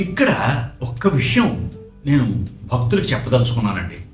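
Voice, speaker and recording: The voice moves in very wide pitch swings, with music in the background. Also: man. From Andhra Pradesh. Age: 80s+. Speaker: retired railway engineer. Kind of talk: spiritual reminiscence talk.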